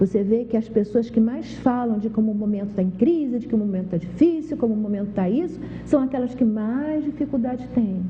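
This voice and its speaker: A woman talks at a fairly quick pace with hardly any pauses. Her pitch is fairly high, and there is noticeable background noise. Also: ordinary pitch variation. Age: 60s. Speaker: TV health show host. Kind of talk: TV talk monologue.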